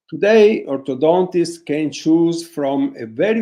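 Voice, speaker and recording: A man speaks at a fairly slow pace with an Italian accent and a dark, mellow tone. His pitch is high, with ordinary variation. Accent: Italian accent, non-native English. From northern Italy, Vicenza. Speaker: orthodontist. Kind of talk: webinar lecture. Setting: online webinar. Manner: halting, with many fillers; reading from notes.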